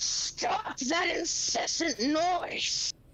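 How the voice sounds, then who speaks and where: An extremely high-pitched, put-on character voice. It bellows and growls. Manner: bellowing, growling.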